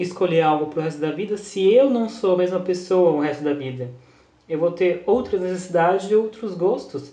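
Audible room echo and noticeable background noise surround a man speaking at a high pitch with ordinary pitch variation. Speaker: podcast co-host. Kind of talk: casual chat.

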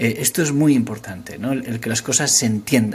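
A man speaks at a medium pitch and a moderate pace. Noticeable background noise runs underneath. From Asturias, Spain. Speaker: tech startup founder. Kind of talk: interview. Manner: halting, many fillers.

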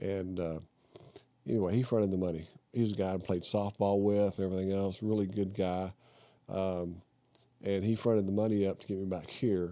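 With a Texan accent, a man speaks in a dark, mellow tone at a fairly low pitch, his intonation monotone and flat, with long, frequent pauses. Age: 60s. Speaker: retired woodworking hobbyist, accident survivor. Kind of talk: casual interview. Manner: halting, repetitive.

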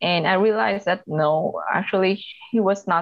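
A woman speaks with a Vietnamese accent. Her pitch varies in an ordinary way. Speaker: LGBT activist and organization director. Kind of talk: casual interview.

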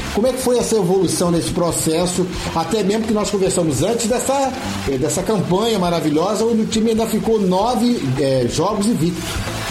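There is audible room echo and noticeable background noise as a man talks at a moderate pace. His loudness stays very even while his intonation is lively. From Angra dos Reis, Rio de Janeiro state, Brazil. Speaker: local radio sports host. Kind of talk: radio sports show with interviews.

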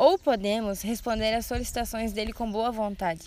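Audible room echo surrounds a woman with a fairly high pitch talking at a moderate pace. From Brazil, Rio Grande do Sul (Santa Rosa). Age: 20s. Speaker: missionary trainee. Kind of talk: podcast conversation on church topics. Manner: hesitant, many filler sounds.

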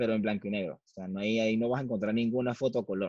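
A man speaks at a medium pitch with a Venezuelan accent. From Venezuela (Valencia). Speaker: photographer. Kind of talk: casual interview.

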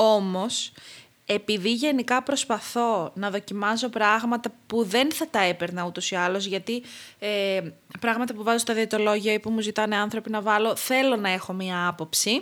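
The recording is very clean with a silent background. A woman with an ordinary speaking voice talks at a moderate pace, fairly high in pitch, with ordinary pitch variation. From Crete, Greece. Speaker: clinical dietitian. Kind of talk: casual interview.

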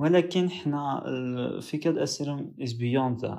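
A dark, mellow tone colors the man's speech, which has ordinary pitch variation. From Morocco. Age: young. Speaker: podcast co-host, university student. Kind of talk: casual podcast introduction.

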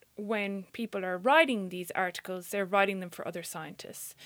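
The recording is very clean with a silent background, and the woman's voice sits at a medium pitch. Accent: Irish. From Ireland. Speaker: science communicator and radio producer. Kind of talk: interview conversation.

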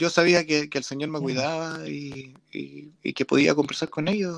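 With fairly even intonation, a man talks at a moderate pace in a fairly high pitch. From Chile. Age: 30s. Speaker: podcast host and church musician. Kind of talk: casual interview.

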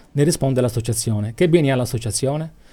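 The voice has a dark, mellow tone and lively intonation at a fairly quick pace. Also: man. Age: 50s. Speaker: cultural association president. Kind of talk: radio interview.

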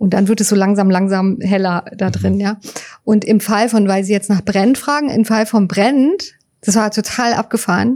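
With a dark, mellow tone, a woman at medium pitch speaks at a moderate pace, her intonation fairly even and her loudness very even. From Berlin, Germany. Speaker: writer and psycho-oncologist. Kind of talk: interview. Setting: inside a parked railway wagon at a memorial site. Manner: halting, many fillers.

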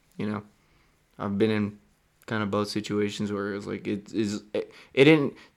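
Speaking with fairly even intonation, a man keeps a fairly low pitch. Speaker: podcast host. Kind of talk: casual chat.

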